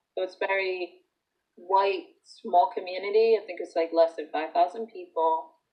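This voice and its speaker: Speaking at a moderate pace, a woman with a medium pitch keeps her intonation fairly even while her loudness swings widely. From Dominican Republic, moved to US at twelve. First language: Spanish. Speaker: former English-language learner. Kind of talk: interview testimony. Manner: casual, hesitant with fillers.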